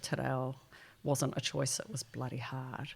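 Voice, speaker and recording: A woman talks at a moderate pace with a New Zealand accent. Her very deep, low voice carries vocal fry. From New Zealand, Wellington. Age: 60s. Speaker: futurist. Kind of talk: podcast interview. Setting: indoors with harbour view.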